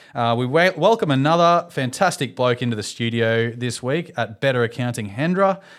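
A man speaks at medium pitch with lively intonation, a moderate pace and hardly any pauses. The recording is very clean with a silent background. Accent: Australian. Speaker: podcast host. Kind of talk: casual chat. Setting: studio.

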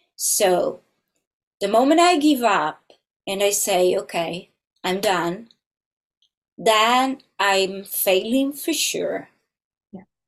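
Very slowly and with long, frequent pauses, a woman speaks in an Italian accent at medium pitch with lively intonation. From Italy, small country town. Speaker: film composer. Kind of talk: interview conversation.

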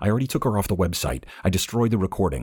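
A man's put-on character voice, low-pitched with a slightly husky edge, a slightly mellow tone, big pitch swings and a very fast pace

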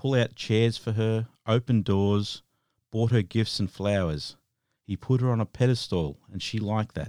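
In a serious, dark, mellow tone, a man speaks at a fairly low pitch and a moderate pace with big swings in loudness, on a very clean recording with a silent background and a dry, close sound with no echo. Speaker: podcast host. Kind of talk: true-crime narration, scripted-style retelling of a case read out in a flat, even tone. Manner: halting, filled with ums and uhs, nervous beginner; serious, measured, matter-of-fact delivery during graphic details.

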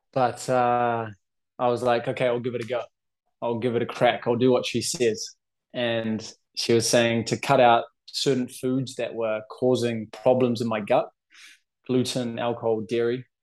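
A man with a New Zealand accent, medium in pitch, at a moderate pace with monotone, flat intonation. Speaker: anxiety and OCD coach. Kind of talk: interview.

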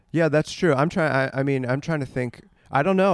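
A man talks at a fairly quick pace in a normal speaking voice. His pitch variation is ordinary. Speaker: podcast host and comedy producer. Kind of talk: casual interview chat.

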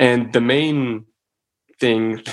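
Medium pitch from a man. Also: very clean recording, silent background. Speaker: undergraduate student. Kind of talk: panel discussion.

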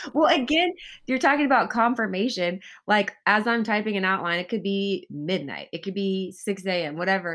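A woman speaks at a moderate pace in an unremarkable speaking voice, medium in pitch, with lively intonation. The recording is very clean, with a silent background.

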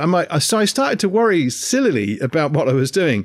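In a very clean recording with a silent background, a man with an English accent speaks at a moderate pace and fairly high pitch. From England. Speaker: podcast co-host. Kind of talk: casual chat.

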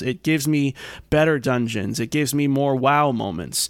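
On a very clean recording with a silent background, a man with a normal speaking voice talks at a fairly high pitch with ordinary pitch variation. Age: 30s. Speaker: video game podcast host. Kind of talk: casual chat.

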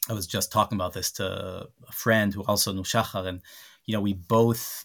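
A man with an Israeli accent is heard in a very clean recording with a silent background. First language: Hebrew. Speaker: human rights organization director. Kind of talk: interview. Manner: halting, many repetitions and fillers.

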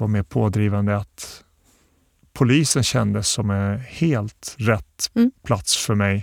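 A man talks at a very slow pace with a fairly low pitch and ordinary pitch variation. The recording is very clean with a silent background and a dry, close sound with no echo. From Bosnia, moved to Sweden at 11. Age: 40s. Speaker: municipal security chief, former police officer. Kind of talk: interview. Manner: hesitant, many fillers.

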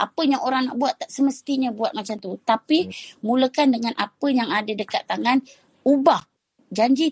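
Her high-pitched voice moves at a moderate pace. The woman is recorded with a dry, close sound and no echo. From Perak, Malaysia (Kuala Kurau / Bagan Serai). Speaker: food business founder. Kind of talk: interview testimony on a live audio chat. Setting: live audio chat room, at home.

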